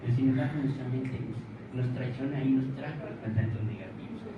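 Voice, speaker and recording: Someone talks at a fairly quick pace with fairly even intonation, with audible room echo and noticeable background noise. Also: man. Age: 70s. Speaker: audience member asking questions. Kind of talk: Q&A comment in a talk. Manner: halting.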